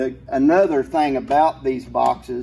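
A man talks at a fairly slow pace in a dark, mellow tone with vocal fry. His intonation stays fairly even. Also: medium pitch for a man.

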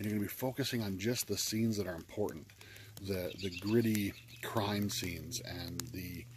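Against noticeable background noise, a man with a fairly low pitch and a somewhat breathy voice speaks at a moderate pace with fairly even intonation, the sound dry with no echo. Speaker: game reviewer. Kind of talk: casual vlog chat. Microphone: phone near.

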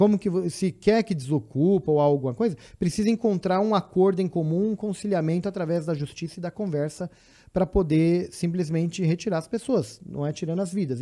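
A man with a São Paulo accent speaks at a moderate pace in a high, dark and mellow voice with ordinary pitch variation against a quiet background. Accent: Brazilian Portuguese, São Paulo (paulistano). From São Paulo city, Brazil; Brazil. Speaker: guest. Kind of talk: casual chat. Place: studio. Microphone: studio mic.

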